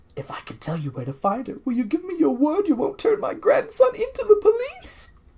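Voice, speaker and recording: A put-on character voice at a fairly quick pace, extremely high in pitch, with very wide pitch swings. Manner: whispering.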